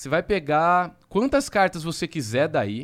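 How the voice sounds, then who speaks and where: A man's fairly high voice with very wide pitch swings, on a very clean recording with a silent background. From Jaú, interior of São Paulo state, Brazil. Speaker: magician. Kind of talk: magic trick patter; casual chat.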